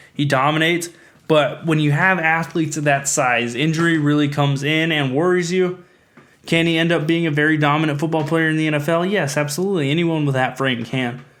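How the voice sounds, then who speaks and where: Fairly quick, fairly high male speech with fairly even intonation and audible room echo. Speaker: sports podcast host. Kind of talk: solo sports podcast commentary. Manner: fast.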